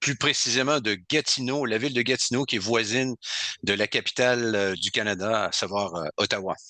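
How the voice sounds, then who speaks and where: A man speaks at a moderate pace and medium pitch, his tone bright and sharp. The sound is dry and close with no echo, over a quiet background. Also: ordinary pitch variation. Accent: Quebec. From Quebec, Côte-Nord. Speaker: heavy metal singer. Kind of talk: interview.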